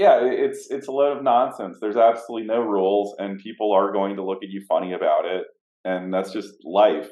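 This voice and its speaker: Using a fairly low pitch with an American accent, a man talks at a fairly quick pace with fairly even intonation. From United States. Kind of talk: casual interview conversation. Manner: halting, many repetitions and fillers.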